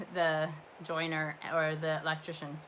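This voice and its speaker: Loud and bright with a sharp tone, a woman talks in a Canadian accent. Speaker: livestream host. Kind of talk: casual chat. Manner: rambling, relaxed with fillers.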